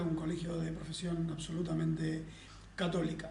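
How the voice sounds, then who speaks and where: A man's high voice at a fairly quick pace, with audible room echo and noticeable background noise. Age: 50s. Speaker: federal prosecutor. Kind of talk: interview testimony.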